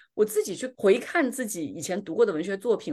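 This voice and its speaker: Against a quiet background, a woman at a medium pitch makes very wide pitch swings. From southern China. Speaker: podcast host. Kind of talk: casual chat.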